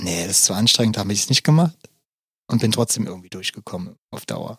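A man's fairly low voice at a very fast pace, with ordinary pitch variation and a dry, close sound with no echo. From Berlin, Germany. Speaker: podcast co-host. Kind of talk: casual chat.

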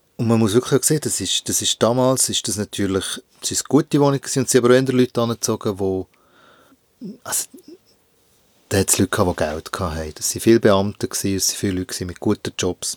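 Talking very fast, a man uses medium pitch and ordinary pitch variation, with long, frequent pauses. The sound is dry and close, with no echo. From Switzerland, Bern area (Hinterkappelen). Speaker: visual artist. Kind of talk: interview. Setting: recording booth.

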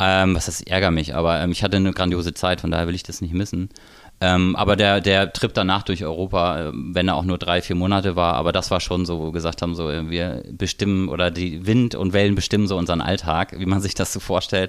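There is a silent background on this very clean recording, where a man's very deep, low voice moves fairly quickly with fairly even intonation. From North Frisia, northern Germany. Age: 30s. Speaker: hotel director. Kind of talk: casual chat. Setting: studio.

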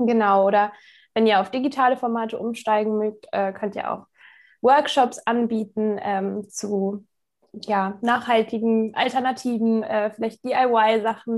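Over a quiet background, a woman with a fairly high voice speaks at a moderate pace with fairly even intonation. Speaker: youth environmental activist. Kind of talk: interview. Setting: remote recording. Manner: hesitant, many fillers.

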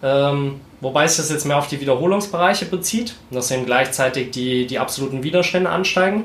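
Over noticeable background noise and audible room echo, a man with a fairly high pitch talks at a fairly quick pace with hardly any pauses and ordinary pitch variation. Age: 20s. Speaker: strength coach and sports science student. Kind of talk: casual chat. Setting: home studio.

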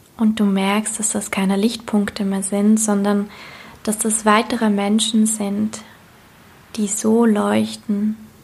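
A woman speaks very slowly in a medium-pitched, somewhat breathy voice with a gentle, soothing tone. Her intonation is monotone and flat. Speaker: meditation guide and coach. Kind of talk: guided meditation. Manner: slow, soothing, calm; gentle, dreamy, repeated phrases.

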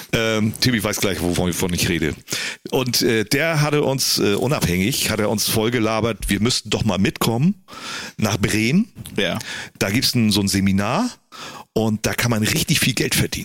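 A man's fairly low voice with very even loudness and ordinary pitch variation. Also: moderate pace. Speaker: DJ. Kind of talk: casual chat.

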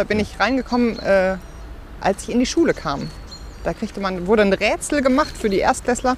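A woman speaks at a moderate pace in a fairly high pitch, her intonation lively and broken by long, frequent pauses. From Ruhr area, Bochum. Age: 30s. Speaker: pastor. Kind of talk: casual interview while walking. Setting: outdoors, walking.

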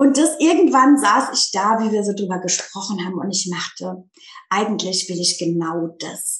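A woman's medium-pitched, somewhat breathy voice with lively intonation at a moderate pace. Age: 30s. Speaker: teacher turning life coach. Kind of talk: casual interview chat.

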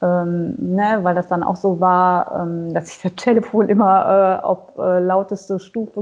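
A woman speaks at a fairly slow pace and a medium pitch. Her intonation stays fairly even. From western Germany near Dutch border. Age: 40s. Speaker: singer with hearing aids. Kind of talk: interview. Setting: phone call. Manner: many hesitations (äh, ähm).

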